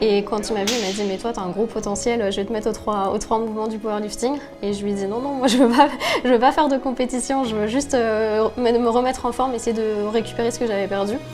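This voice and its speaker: Music plays in the background as a woman talks at a very fast pace. Her fairly high voice keeps fairly even intonation. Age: 30s. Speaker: powerlifter. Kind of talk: interview testimony. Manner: hesitant, many fillers.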